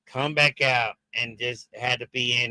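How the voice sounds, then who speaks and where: A man speaks with a bright, sharp tone. The sound is dry and close, with no echo. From Jamaica and Haiti. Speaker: wrestling show host. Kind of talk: live stream commentary. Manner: halting, many fillers.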